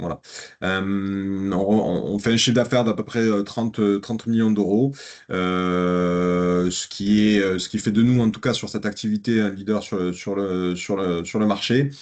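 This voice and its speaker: Fairly slow speech with fairly even intonation over a quiet background. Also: man, fairly low pitch for a man. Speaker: business consultant. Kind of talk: business presentation. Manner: hesitant, many fillers.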